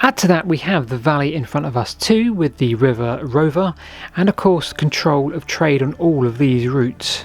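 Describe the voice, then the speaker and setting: A man whispering over noticeable background noise. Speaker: history and landscape YouTuber. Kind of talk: walking tour vlog narration. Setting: outdoors in woodland.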